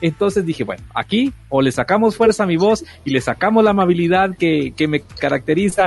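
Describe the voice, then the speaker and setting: With lively intonation, the man moves along at a fairly quick pace. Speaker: radio host. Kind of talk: casual chat. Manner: energetic, forceful.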